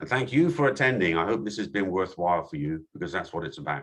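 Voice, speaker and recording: Lively intonation from a male voice. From England. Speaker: company founder and CEO. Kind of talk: webinar Q&A. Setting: Zoom webinar. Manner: halting, many fillers.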